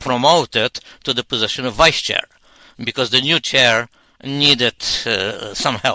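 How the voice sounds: A man's bright, sharp voice at medium pitch comes at a fairly slow pace, with a dry, close sound and no echo.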